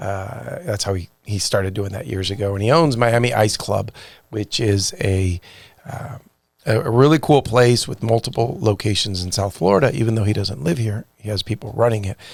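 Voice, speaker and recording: A man with a fairly low pitch and a somewhat breathy voice speaks at a moderate pace, his pitch varying in an ordinary way. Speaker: podcast host. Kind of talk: podcast intro.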